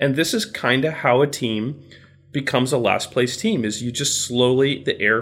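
This is a man at a medium pitch with fairly even intonation. He has a plain, everyday voice. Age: 40s. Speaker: baseball podcast co-host. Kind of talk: casual chat.

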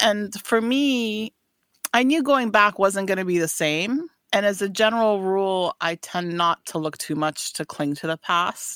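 Against a silent background in a very clean recording, a woman with a normal speaking voice talks fairly slowly at a medium pitch, her intonation lively. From US, raised in Afghanistan, Paris, Washington state. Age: 40s. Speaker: boutique owner. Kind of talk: casual interview chat. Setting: studio.

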